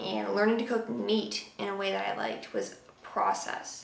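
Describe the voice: Strong room echo surrounds a woman who speaks at a moderate pace with vocal fry and little pitch movement. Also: medium pitch for a woman.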